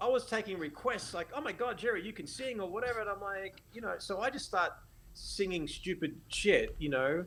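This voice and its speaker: At a moderate pace, a man with an Australian accent speaks high-pitched with lively intonation. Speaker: photographer and educator. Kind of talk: casual interview chat. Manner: animated.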